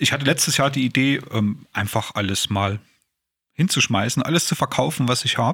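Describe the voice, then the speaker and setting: A man's medium-pitched voice, bright and sharp in tone, at a fairly quick pace with long, frequent pauses, very even loudness and ordinary pitch variation. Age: 40s. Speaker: podcast co-host, self-help group co-founder. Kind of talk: casual chat.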